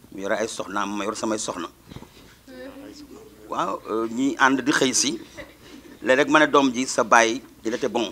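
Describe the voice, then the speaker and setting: Lively intonation from a man, with noticeable background noise behind. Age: 60s. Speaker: teacher. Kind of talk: speech at a school ceremony. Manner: mixes French and Wolof.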